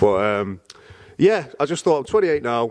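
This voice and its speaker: This is a man with a British accent. His pitch is medium. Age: 20s. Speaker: personal trainer and MMA fighter. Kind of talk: casual chat.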